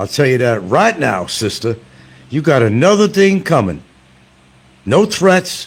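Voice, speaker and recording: Loud, fairly slow speech with vocal fry and very wide pitch swings. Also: man. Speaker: livestream commentator. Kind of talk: live stream rant. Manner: animated.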